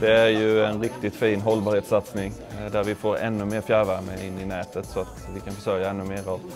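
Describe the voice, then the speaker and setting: Clear music in the background behind a man's fairly low, monotone, flat voice at a fairly quick pace. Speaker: municipal council chair. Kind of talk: interview answer. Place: office. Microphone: lapel.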